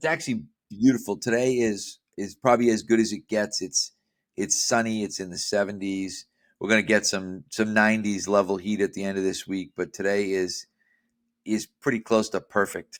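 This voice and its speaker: On a very clean recording with a silent background and dry, close sound with no echo, a man with a normal speaking voice talks at a moderate pace, fairly low pitch and ordinary pitch variation. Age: 60s. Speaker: strength and conditioning coach. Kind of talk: interview podcast.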